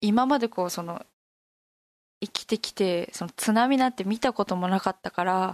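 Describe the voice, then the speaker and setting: A woman with a normal speaking voice talks at a moderate pace and medium pitch, using ordinary pitch variation in a dry, close sound with no echo. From Fukushima, Koriyama. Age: 20s. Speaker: university student. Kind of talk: interview.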